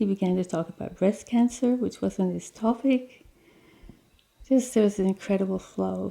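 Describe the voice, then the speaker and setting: Here a woman talks at a moderate pace. She has an Australian accent. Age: 60s. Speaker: terminally ill patient. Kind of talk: personal testimony interview.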